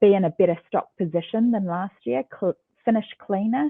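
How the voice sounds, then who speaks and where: A woman's medium-pitched voice with lively intonation. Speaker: ecommerce executive. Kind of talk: interview. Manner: hesitant fillers.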